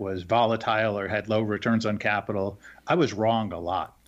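Against a quiet background, a man talks at a moderate pace in a normal speaking voice of medium pitch. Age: 50s. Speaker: investment manager. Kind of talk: interview.

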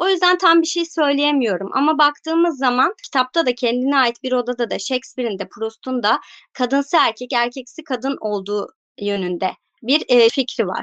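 A woman's high-pitched voice with lively intonation at a moderate pace, in a dry, close sound with no echo. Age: 30s. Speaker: book content creator. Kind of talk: casual chat.

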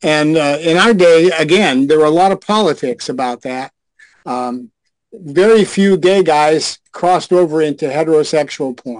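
An ordinary speaking voice, its pace moderate and its pitch varying in an ordinary way. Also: man, fairly high pitch for a man. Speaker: retired adult film actor and director.

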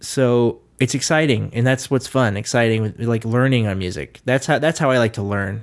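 A normal speaking voice with an American accent runs on with hardly any pauses and ordinary pitch variation. The recording is very clean, with a silent background. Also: man, medium pitch for a man, moderate pace. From US South, Nashville, Tennessee. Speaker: session and band drummer. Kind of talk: casual interview.

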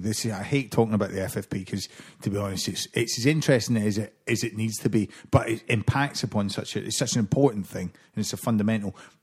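A man with a medium-pitched, somewhat breathy voice talks at a very fast pace. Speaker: podcast host. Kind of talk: casual chat.

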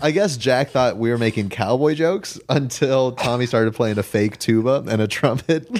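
In an American accent, a man with medium pitch and ordinary pitch variation talks at a moderate pace with hardly any pauses and very even loudness over noticeable background noise. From Los Angeles. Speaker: podcast guest. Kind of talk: casual chat.

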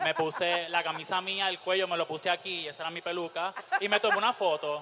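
This man's voice sits high in pitch. Its tone is bright and sharp. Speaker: drag performer. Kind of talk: onstage interview.

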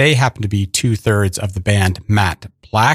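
A man with a normal speaking voice talks at a fairly slow pace and fairly low pitch, with fairly even intonation, in a dry, close sound with no echo on a very clean recording with a silent background. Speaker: radio host. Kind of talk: radio DJ patter introducing tracks. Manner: warm, conversational, easygoing.

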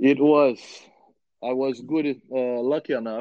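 The speaker talks at a fairly slow pace with a Brazilian accent. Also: man. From Brazil, Rio de Janeiro. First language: Portuguese. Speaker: former professional footballer. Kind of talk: interview.

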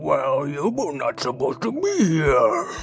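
A man uses a put-on character voice at a fairly slow pace. Clear background noise is present. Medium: audio drama. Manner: odd, stilted alien phrasing.

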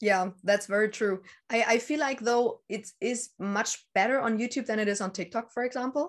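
With a German accent, the speaker goes at a moderate pace with ordinary pitch variation against a quiet background. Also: woman, fairly high pitch for a woman. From northern Germany, near Danish border. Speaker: witchcraft YouTuber. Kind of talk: casual interview. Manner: hesitant, many fillers.

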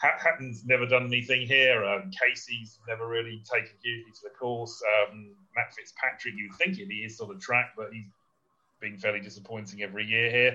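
A man speaks with a British accent and ordinary pitch variation. His loudness swings widely. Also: medium pitch for a man, fairly quick pace. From Britain. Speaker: golf betting analyst. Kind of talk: casual chat.

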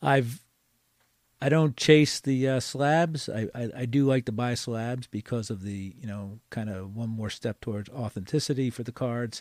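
A man at a medium pitch with an unremarkable speaking voice, in dry, close sound with no echo on a very clean recording with a silent background. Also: ordinary pitch variation. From Philadelphia, US. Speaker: card collector and card show organizer. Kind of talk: casual interview chat.

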